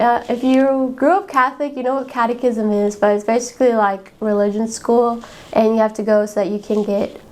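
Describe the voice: A woman speaks at a fairly high pitch. Her tone is slightly mellow.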